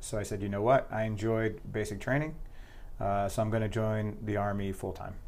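With an American accent, a man talks in an ordinary speaking voice at a fairly low pitch, his intonation fairly even. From New Jersey. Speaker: special forces soldier and nonprofit founder. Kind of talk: casual interview.

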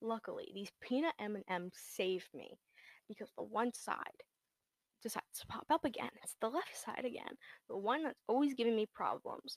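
With vocal fry and big swings in loudness, a woman speaks at a fairly high pitch, using lively intonation at a moderate pace. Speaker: podcast host. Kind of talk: casual monologue. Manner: excitable; low-key today.

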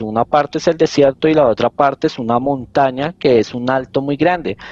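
The sound is dry and close with no echo as a man of medium pitch talks at a moderate pace with ordinary pitch variation. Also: quiet background. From Colombia, Bogotá. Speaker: detective and podcast creator. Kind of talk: casual interview, storytelling.

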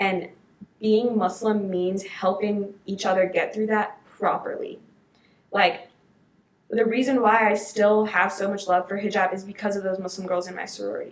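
Audible room echo surrounds a woman speaking at a medium pitch. Her intonation stays monotone and flat. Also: moderate pace. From Maryland, US (born in Detroit). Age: 20s. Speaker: podcast guest, college student. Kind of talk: casual chat.

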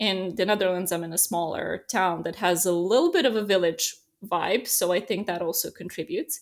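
A woman with a Serbian accent at a medium pitch, a fairly quick pace and ordinary pitch variation. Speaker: relocation business owner, expat. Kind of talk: casual interview.

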